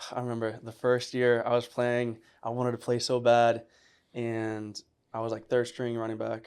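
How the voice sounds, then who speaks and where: At a moderate pace, a man talks in a medium pitch. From Puerto Rico, then upstate New York. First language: Spanish. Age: 20s. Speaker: former college football player, receiver trainer. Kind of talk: casual podcast interview. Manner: casual, animated.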